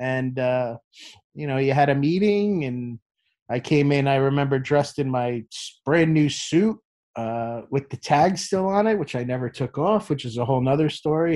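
A plain, everyday voice moves at a moderate pace with ordinary pitch variation. The background is quiet. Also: man. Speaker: sports TV producer. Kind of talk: interview.

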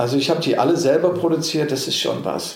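A man's speech carries audible room echo, with noticeable noise in the background. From England and Germany. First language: English (speaking German). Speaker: actor. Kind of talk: interview. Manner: halting, many fillers.

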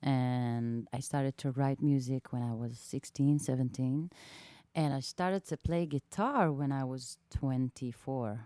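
The speaker has an Israeli accent and a dark, mellow tone with fairly even intonation. The pace is fairly slow, and the sound is dry and close with no echo. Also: woman, very deep, low pitch for a woman. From southern Israel, small town. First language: Hebrew. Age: 30s. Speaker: singer-songwriter. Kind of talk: casual interview chat. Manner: halting, many fillers.

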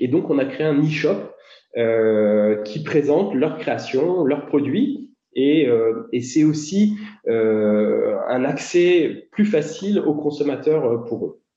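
In a room with audible echo, a man talks at a very slow pace, his fairly high voice carrying lively intonation. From northern France, Dunkerque. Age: 40s. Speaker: entrepreneur. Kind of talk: interview. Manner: hesitant, many fillers.

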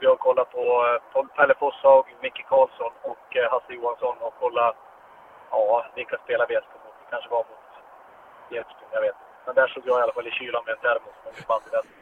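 Against noticeable background noise, a man talks at a fairly quick pace with big swings in loudness. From Sweden, Norrbotten (Pajala). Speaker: ice hockey coach and former player. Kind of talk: long interview. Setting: in a car.

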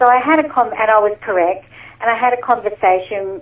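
An Australian accent marks this voice. The speaker is a woman. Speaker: animal communicator and medium. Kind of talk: interview. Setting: remote call.

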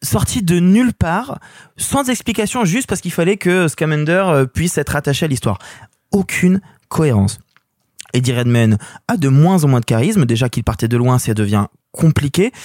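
Animated in tone, a man speaks in a fairly high pitch with very wide pitch swings and long, frequent pauses. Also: moderate pace, dry, close sound with no echo. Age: 20s. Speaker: film critic. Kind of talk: casual chat.

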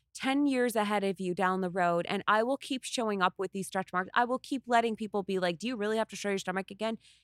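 A woman speaks in an animated tone, her pitch fairly high with ordinary variation. The recording is very clean, dry and close with no echo, over a silent background. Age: 30s. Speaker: content creator and body positivity model. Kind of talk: casual chat.

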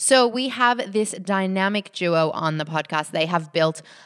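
This woman speaks with an Australian accent. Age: 30s. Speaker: podcast co-host. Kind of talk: casual chat.

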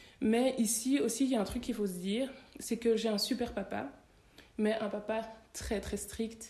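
With a dark, mellow tone and a somewhat breathy quality, a woman talks at a fairly high pitch with fairly even intonation and long, frequent pauses. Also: moderate pace. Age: 30s. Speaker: tax lawyer. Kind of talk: interview conversation.

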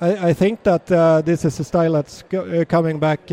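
A man speaks at a high pitch with a dark, mellow tone. His intonation is fairly even, and the sound is dry and close with no echo. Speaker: homebrewer turned brewery owner. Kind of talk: casual interview.

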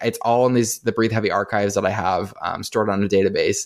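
On a very clean recording with a silent background, a man speaks in an unremarkable speaking voice. His pitch is fairly low and his intonation fairly even. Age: 30s. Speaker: website founder and pop music blogger. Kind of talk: casual interview chat.

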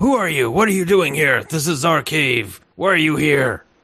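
Moderate pace and fairly high pitch in a man's put-on character voice. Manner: aggressive, demanding.

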